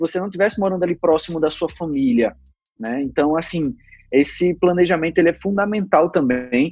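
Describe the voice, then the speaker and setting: A man's high-pitched voice at a fairly quick pace. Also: ordinary pitch variation. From Brazil, Recife (Pernambuco). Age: 20s. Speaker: bank employee. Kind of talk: casual interview.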